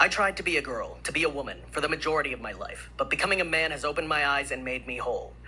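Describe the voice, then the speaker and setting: Over noticeable background noise, a man rattles along at a very fast pace with hardly any pauses. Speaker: member of the public testifying. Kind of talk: public testimony. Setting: legislative committee hearing.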